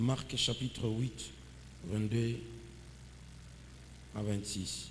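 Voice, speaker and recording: With audible room echo, a man speaks at a very slow pace in a somewhat breathy voice, fairly low in pitch with ordinary pitch variation. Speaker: pastor. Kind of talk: sermon.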